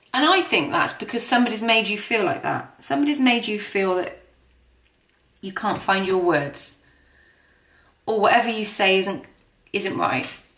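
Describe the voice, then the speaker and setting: A woman speaks at a moderate pace with a fairly high pitch, very wide pitch swings and long, frequent pauses. Audible room echo surrounds her voice. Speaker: tarot and astrology reader. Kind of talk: tarot reading.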